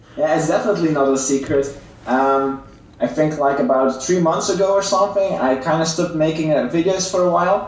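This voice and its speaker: Through audible room echo and noticeable background noise, a man with a fairly high pitch talks at a fairly quick pace, with ordinary pitch variation and very even loudness. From Belgium, West Flanders. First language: Dutch (West Flemish dialect). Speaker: mobile game YouTuber. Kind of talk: interview.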